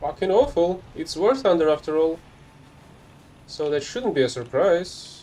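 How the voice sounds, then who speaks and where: This speaker has a Russian accent and lively intonation, with long, frequent pauses at a fairly slow pace. Noticeable background noise runs underneath. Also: man, high pitch for a man. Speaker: gaming streamer. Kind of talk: live gameplay commentary. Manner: casual.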